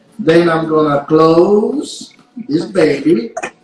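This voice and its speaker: There is noticeable background noise. Through it, a man speaks at a fairly high pitch. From Sicily, Italy. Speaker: chef. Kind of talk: live cooking demonstration. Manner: instructive, upbeat.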